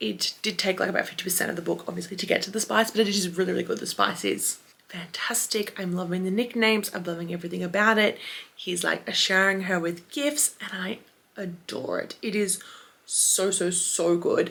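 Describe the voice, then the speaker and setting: Soft-spoken and fairly quick, a woman of medium pitch talks in a bright, sharp tone with vocal fry and ordinary pitch variation. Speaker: book vlogger. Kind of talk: casual vlog talk to camera. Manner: quiet, soft-spoken late at night; chatty with fillers.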